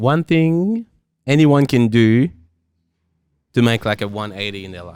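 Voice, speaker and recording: Speaking at medium pitch and a fairly slow pace, a man uses lively intonation, big swings in loudness, and long, frequent pauses. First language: not English. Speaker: podcast host. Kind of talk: casual interview chat.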